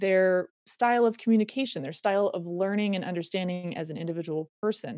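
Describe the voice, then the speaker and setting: A woman speaks at a medium pitch with an American accent and ordinary pitch variation. Her pace is fairly quick with hardly any pauses, in a plain, everyday voice. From US West, Reno, Nevada. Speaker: former pro cyclist and mentor. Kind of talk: casual interview chat.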